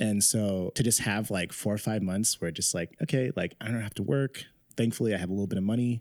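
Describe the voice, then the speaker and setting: In an American accent, a man with a plain, everyday voice speaks at a fairly quick pace and fairly low pitch, with ordinary pitch variation and a dry, close sound with no echo. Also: very clean recording, silent background. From US West Coast, San Francisco. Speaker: podcast co-host. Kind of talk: casual chat.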